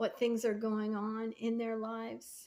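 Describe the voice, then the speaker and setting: A woman with a fairly high pitch and a plain, everyday voice speaks at a fairly slow pace. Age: 60s. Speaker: faith vlogger and painter. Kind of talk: casual devotional talk to camera.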